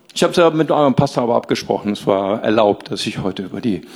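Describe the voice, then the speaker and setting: A man's medium-pitched voice with very wide pitch swings, over noticeable background noise. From Rhineland, Germany. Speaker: pastor. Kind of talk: sermon. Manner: animated.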